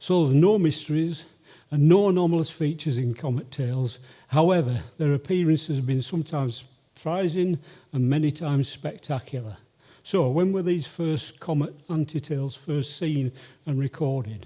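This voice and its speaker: Heard in a very clean recording with a silent background, the dark, mellow voice moves at a moderate pace with ordinary pitch variation. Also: man, fairly high pitch for a man. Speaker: amateur astronomer, comet observer. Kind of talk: lecture. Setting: stage with audience.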